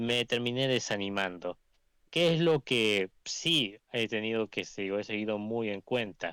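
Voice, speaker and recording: A man's fairly low voice with a bright, sharp tone and ordinary pitch variation, at a fairly slow pace, dry and close with no echo on a very clean recording with a silent background. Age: young. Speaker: aspiring journalist, monarchist movement member. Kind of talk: interview self-introduction. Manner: halting, many self-corrections.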